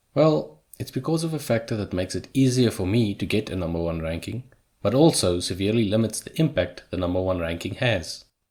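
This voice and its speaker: Fairly quick speech with lively intonation in a South African accent, on a very clean recording with a silent background. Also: man, fairly low pitch for a man. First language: Afrikaans. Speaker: YouTuber. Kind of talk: scripted narration.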